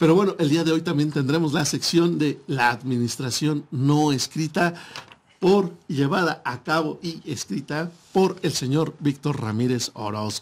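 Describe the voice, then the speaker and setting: At a fairly slow pace, a man with a fairly high pitch talks with ordinary pitch variation. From Mexico. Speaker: internet radio host. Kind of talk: casual radio talk show. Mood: friendly, jokey. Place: studio. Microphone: studio mic.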